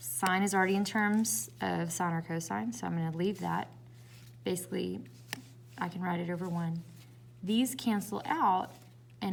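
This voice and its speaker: With a Southern US accent, a woman speaks with long, frequent pauses over noticeable background noise. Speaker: math teacher. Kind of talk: tutorial.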